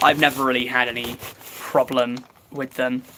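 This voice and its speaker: Someone with an English accent speaks over noticeable background noise. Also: man. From England. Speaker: YouTuber livestreaming. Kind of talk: casual livestream chat. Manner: halting, filler-heavy.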